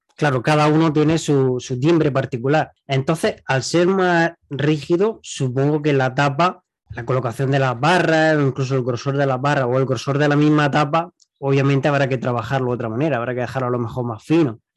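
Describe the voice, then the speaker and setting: A man with a Spanish accent, fairly high-pitched, at a fairly quick pace with hardly any pauses, his intonation fairly even, against a quiet background. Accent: Peninsular Spanish. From Spain. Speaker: podcast host. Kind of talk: interview.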